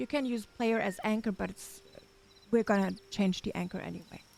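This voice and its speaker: A woman speaks at a moderate pace with a German accent. Her pitch sits fairly high. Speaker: gaming tutorial creator. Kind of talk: tutorial. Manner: halting.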